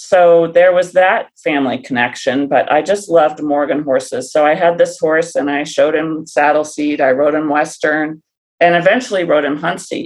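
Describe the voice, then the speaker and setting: A woman talks in a very deep, low voice with ordinary pitch variation. Her pace is moderate, with hardly any pauses. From US Midwest, Ohio. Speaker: horse trainer and riding coach. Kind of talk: casual interview.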